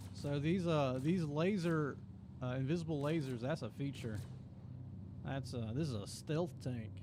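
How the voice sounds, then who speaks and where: In a Southern Appalachian accent, a man speaks with a relaxed, dark, mellow tone and long, frequent pauses, with audible room echo around him. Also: fairly high pitch for a man, ordinary pitch variation, moderate pace. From Appalachia, US Southeast. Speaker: gaming streamer and video creator. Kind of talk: casual live stream chat. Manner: relaxed, halting with fillers.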